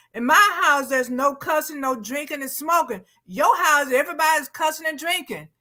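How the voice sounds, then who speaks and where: A woman speaks in a raised, projected voice at a high pitch with ordinary pitch variation. She moves at a fairly quick pace with hardly any pauses. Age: 60s. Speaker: TV talk show co-host. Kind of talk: casual panel discussion.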